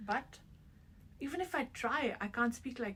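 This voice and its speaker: A woman with an Indian accent speaks at a high pitch. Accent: Indian English accent, unchanged. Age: 50s. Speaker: interviewee, immigrant mother. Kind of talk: interview.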